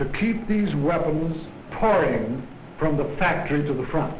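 At a fairly slow pace and with ordinary pitch variation, the voice carries audible room echo over light background noise. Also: man. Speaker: army officer giving a speech. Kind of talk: formal wartime speech appealing for war bonds. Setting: 1940s newsreel recording. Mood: earnest, solemn. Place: office. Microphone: podium.

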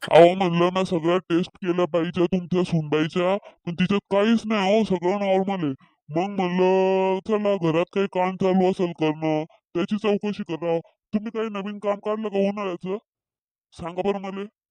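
A man puts on a cartoonish character voice at a high pitch. His intonation stays monotone and flat. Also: moderate pace. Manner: confident, chatty, rambling.

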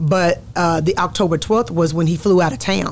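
A woman's fairly low voice with a Southern US accent and ordinary pitch variation, over light background noise. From Texas. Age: 40s. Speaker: pastor. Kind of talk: interview testimony. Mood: reflective, earnest storytelling. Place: studio. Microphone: studio mic.

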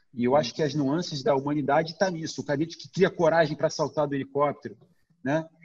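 A man with a Brazilian accent at a very fast pace, fairly high-pitched and somewhat breathy, with ordinary pitch variation and big swings in loudness. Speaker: documentary director. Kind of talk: casual interview.

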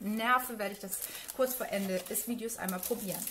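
At a moderate pace and with fairly even intonation, a woman speaks over noticeable background noise. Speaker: beauty YouTuber. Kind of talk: unboxing video. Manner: many filler sounds.

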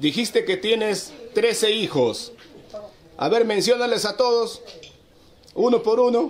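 Speaking at a fairly slow pace with long, frequent pauses, the voice shows ordinary pitch variation over noticeable background noise. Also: man, extremely high pitch for a man. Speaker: local video host, interviewer. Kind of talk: interview questions.

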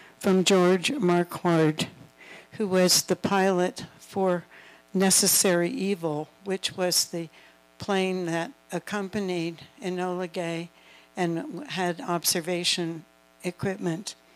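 Faint music plays behind a woman who speaks very slowly, with ordinary pitch variation. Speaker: author and speaker; speaker. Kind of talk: lecture. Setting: stage with audience. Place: hall.

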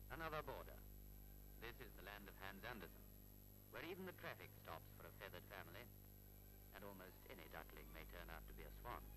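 A man talking at a very fast pace, with noticeable background noise. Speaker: documentary narrator. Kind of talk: commentary.

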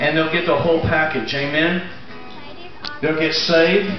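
Clear music plays behind a man with a fairly high pitch, and the room echo is audible. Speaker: pastor. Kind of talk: sermon to a congregation. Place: tent. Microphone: camera far.

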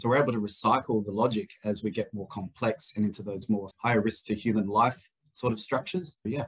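A somewhat breathy man with an Australian accent, very fast pace and ordinary pitch variation, over a quiet background. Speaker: proptech startup founder, former building industry engineer. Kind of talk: webinar panel discussion. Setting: video call. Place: office. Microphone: video call.

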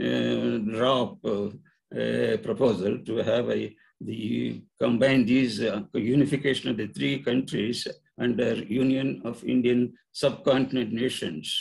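At a very slow pace, a man speaks with vocal fry at a medium pitch. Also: quiet background. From India. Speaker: retired engineering professor. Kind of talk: presentation. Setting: video call. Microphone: video call.

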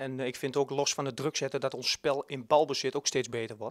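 With a Twente accent, a man speaks at a fairly quick pace, the sound dry with no echo and the background quiet. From Twente, eastern Netherlands; Netherlands. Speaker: youth football coach. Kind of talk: interview. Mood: pleased, relaxed. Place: hall. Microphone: handheld.

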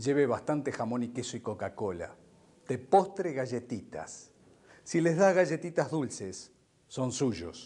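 A man with a dark, mellow tone speaks at a fairly slow pace. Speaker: stage actor playing a scheming businessman. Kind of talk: theatrical monologue on a phone. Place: stage.

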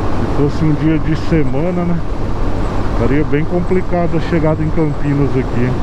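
Loud background noise fills the clip. The sound is dry, with no echo. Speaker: motorcycle rider vlogger. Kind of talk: casual vlog chat. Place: motorbike. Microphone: helmet.

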